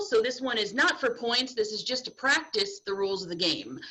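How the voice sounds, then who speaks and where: Loud and high-pitched, a woman speaks with very wide pitch swings against noticeable background noise. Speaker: game host at school assembly. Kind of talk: game show hosting.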